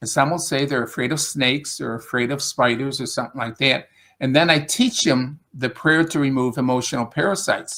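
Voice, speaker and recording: A man with a strong upstate New York accent talks fairly quickly with hardly any pauses, his fairly high voice bright and sharp with ordinary pitch variation. The recording is very clean, with a silent background. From US Northeast, Rochester, upstate New York. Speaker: spiritual teacher and English tutor. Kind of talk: casual interview conversation.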